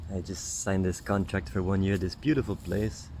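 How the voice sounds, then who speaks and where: A man speaks softly in a fairly low voice. His pace is moderate and his intonation fairly even. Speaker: spiritual healer and vlogger. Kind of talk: stream-of-consciousness monologue. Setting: outdoors, sitting in the grass. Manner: soft-spoken, lowered voice; halting, many fillers.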